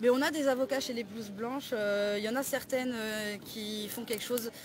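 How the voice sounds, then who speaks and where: Against noticeable background noise, a woman talks at a fairly quick pace in a fairly high pitch with fairly even intonation. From southern France, Perpignan. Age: 20s. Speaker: suspended home care worker. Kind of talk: street interview. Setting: outdoors. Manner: halting.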